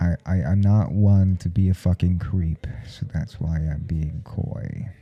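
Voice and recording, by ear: A man speaks slowly-ish, at a fairly slow pace, in a put-on character voice with low pitch and a slightly husky edge. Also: fairly even intonation.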